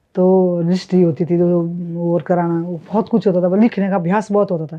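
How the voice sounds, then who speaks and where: Fairly low in pitch, a woman speaks at a moderate pace with a monotone, flat intonation. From Himachal Pradesh. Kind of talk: interview answer.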